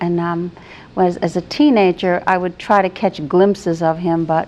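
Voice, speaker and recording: A woman with a normal speaking voice and an American accent talks at a moderate pace, her fairly low pitch showing ordinary pitch variation. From New England, New Bedford, Massachusetts. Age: 60s. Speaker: retired teacher, guest. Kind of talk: interview, personal life story.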